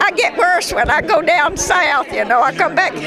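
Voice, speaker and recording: Over crowd noise in the background, a woman speaks at a moderate pace with very wide pitch swings. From Kentucky. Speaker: wartime factory worker. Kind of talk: interview. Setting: airport hangar event.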